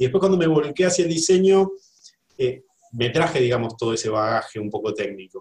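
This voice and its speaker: With a Rioplatense accent, a man talks at a fairly quick pace. His voice is somewhat breathy, with very wide pitch swings. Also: fairly high pitch for a man. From Buenos Aires, Argentina. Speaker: graphic designer. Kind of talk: interview. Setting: video call.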